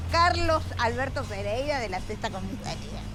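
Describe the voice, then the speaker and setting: Crowd noise fills the background, and the room echo is audible. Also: woman. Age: 70s. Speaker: street performer. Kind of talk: street argument.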